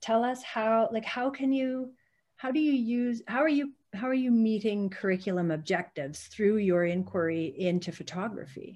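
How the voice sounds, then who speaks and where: With a Canadian accent, a woman speaks at a moderate pace in a fairly high, somewhat breathy voice with lively intonation. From Calgary, Alberta, Canada. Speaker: podcast host, former teacher. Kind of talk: casual chat. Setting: video call. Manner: animated.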